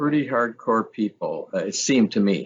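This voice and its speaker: A man is speaking. His intonation is lively. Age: 60s. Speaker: retired teacher and camp owner. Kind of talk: casual chat. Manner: halting.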